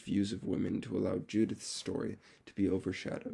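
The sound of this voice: A man's raspy, dark, mellow voice sits at a fairly low pitch with a slightly husky edge and vocal fry, moving at a fairly quick pace.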